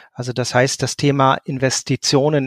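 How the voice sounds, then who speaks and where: A man's medium-pitched, monotone voice with flat intonation at a moderate pace, the sound dry and close with no echo. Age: 50s. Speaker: social services team leader and coach. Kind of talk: interview.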